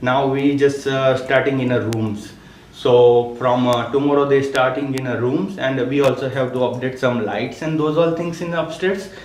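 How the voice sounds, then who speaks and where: A man talks at a medium pitch. Noticeable background noise and audible room echo come through. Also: ordinary pitch variation, moderate pace. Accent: non-native. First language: not English. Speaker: local business owner presenting to council. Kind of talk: presentation to council. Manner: halting, many fillers.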